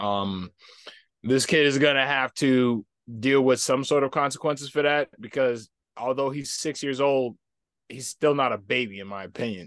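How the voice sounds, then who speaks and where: In a plain, everyday voice, a man talks at a medium pitch with ordinary pitch variation and big swings in loudness. His pace is moderate, and the sound is dry and close with no echo. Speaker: podcast guest. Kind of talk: casual debate. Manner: opinionated.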